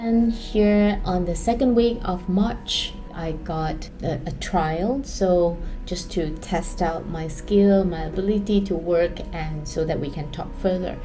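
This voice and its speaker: Speaking very slowly with a Chinese accent, a woman uses a fairly low pitch and ordinary pitch variation, with audible room echo and noticeable background noise around her. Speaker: art vlogger and student. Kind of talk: personal vlog. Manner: hesitant, with fillers.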